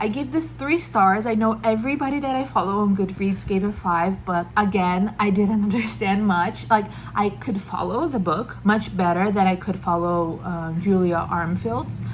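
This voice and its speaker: With audible room echo, a woman with a non-native accent speaks at a moderate pace and medium pitch, somewhat breathy, with lively intonation and hardly any pauses. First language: not English. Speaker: book vlogger. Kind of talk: casual book review monologue. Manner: hesitant, with fillers.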